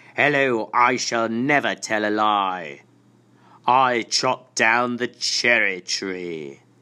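On a very clean recording with a silent background, a man uses a put-on character voice at a medium pitch and a very slow pace. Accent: British.

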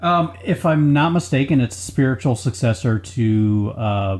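A man's somewhat breathy voice with lively intonation at a fairly slow pace. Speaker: podcast host. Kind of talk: casual banter, game review.

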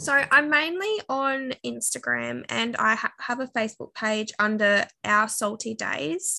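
A woman speaks at a fairly slow pace. She leaves hardly any pauses. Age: 20s. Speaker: stay-at-home mum and family vlogger. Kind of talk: casual interview, personal testimony. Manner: hesitant with many fillers.

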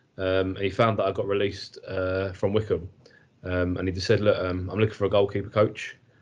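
In an English accent, a man speaks at a fairly quick pace with a somewhat breathy, fairly low voice and monotone, flat intonation. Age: 30s. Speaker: football goalkeeper coach. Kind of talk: casual chat.

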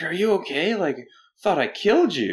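A man performs a put-on character voice. It sits high for a man, with very wide pitch swings. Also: moderate pace. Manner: concerned.

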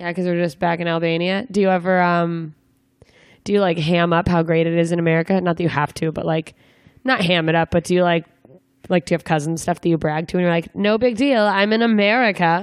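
A woman's fairly low, animated voice at a very fast pace, with very even loudness, ordinary pitch variation and a quiet background. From Alaska. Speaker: stand-up comedian and podcast host. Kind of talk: casual interview chat. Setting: on the road, single shared microphone.

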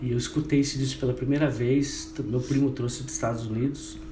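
Noticeable background noise and audible room echo fill the recording. Over them a man talks at a medium pitch. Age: 50s. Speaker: radio host and web radio founder. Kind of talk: casual interview.

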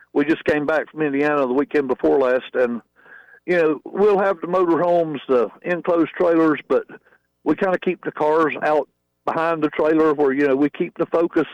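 This man speaks with a Southern US accent at a fairly high pitch and a moderate pace. His loudness stays very even, and his intonation is fairly even. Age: 50s. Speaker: drag racer. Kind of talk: radio interview.

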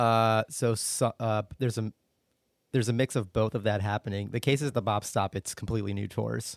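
Recorded very cleanly with a silent background and a dry, close sound with no echo, a man with an American accent speaks at a medium pitch and a fairly quick pace with fairly even intonation. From US Northeast, suburban Philadelphia. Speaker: jazz club director of operations. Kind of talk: casual interview.

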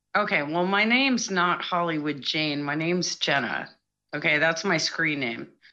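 A woman talks at a moderate pace with a fairly low pitch and lively intonation. Hers is an ordinary speaking voice. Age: 40s. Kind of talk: call-in conversation. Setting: remote call via online chat room.

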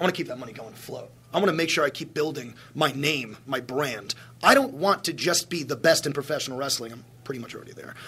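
A man with a New York accent speaks very fast in a fairly high pitch, his bright, sharp tone showing ordinary pitch variation and big swings in loudness. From Long Island, New York. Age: 20s. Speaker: professional wrestler. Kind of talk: press scrum. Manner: brash.

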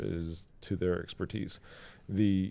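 With an American accent, a man speaks in a very deep, low voice of dark, mellow tone and ordinary pitch variation. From US South (South Carolina). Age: 30s. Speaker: beer sales rep. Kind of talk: casual interview chat.

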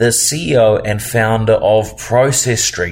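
A man talks at a fairly slow pace. His intonation stays fairly even.

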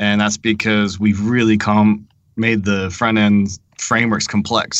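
A man speaks in a normal speaking voice at a fairly slow pace. His intonation stays fairly even. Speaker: software developer panelist. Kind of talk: casual technical discussion.

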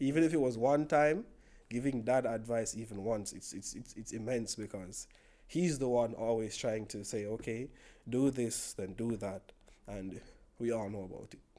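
With a Jamaican accent, a man speaks in a dark, mellow tone that swings widely in loudness. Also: medium pitch for a man, ordinary pitch variation, moderate pace. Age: 20s. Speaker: podcast guest. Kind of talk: casual chat.

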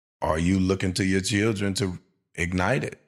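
On a very clean recording with a silent background, a man with an American accent speaks at a fairly slow pace in a very deep, low pitch. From Louisiana (Shreveport). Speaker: podcast co-host. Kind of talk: casual chat.

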